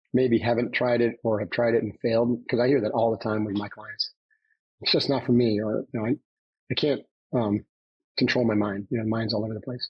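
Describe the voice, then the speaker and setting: With an American accent, a man talks at a medium pitch in a somewhat breathy voice with monotone, flat intonation. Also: fairly quick pace. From upstate New York. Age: 60s. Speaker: former navy commando and trainer. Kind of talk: podcast interview.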